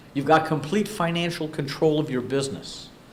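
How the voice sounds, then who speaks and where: With a fairly high pitch and ordinary pitch variation, a man speaks at a moderate pace amid audible room echo and noticeable background noise. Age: 60s. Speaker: business speaker. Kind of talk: workshop presentation.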